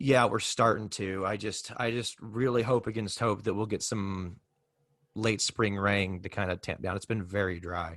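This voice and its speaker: Against a quiet background, a man talks at a moderate pace, his fairly low voice keeping a fairly even intonation. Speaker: podcast host. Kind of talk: casual interview.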